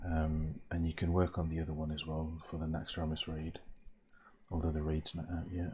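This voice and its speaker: Soft-spoken and somewhat breathy, a man talks at a very deep, low pitch in a dark, mellow tone over a quiet background. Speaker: gamer. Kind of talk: ASMR gaming talk. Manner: low, soft.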